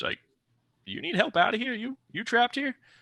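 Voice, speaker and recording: A man speaks in a put-on character voice with extremely high pitch. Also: moderate pace. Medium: actual play. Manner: flippant, casual.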